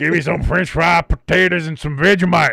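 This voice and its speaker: In a raspy, high, put-on character voice, a man talks at a fairly quick pace. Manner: mocking, pretend.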